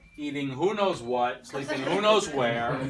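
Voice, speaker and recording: A man with an American accent talks at a moderate pace. Noticeable background noise and audible room echo fill the recording. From United States. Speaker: wedding speech giver. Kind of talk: wedding toast. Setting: wedding reception with audience. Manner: halting, reading from notes.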